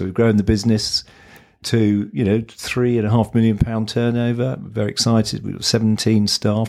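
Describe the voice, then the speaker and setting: In a southern English accent, a man speaks at a fairly low pitch and a fairly quick pace with fairly even intonation. The recording is very clean, the background silent. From southern England (Kent). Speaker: agency founder and investor. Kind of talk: interview. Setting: in person at office.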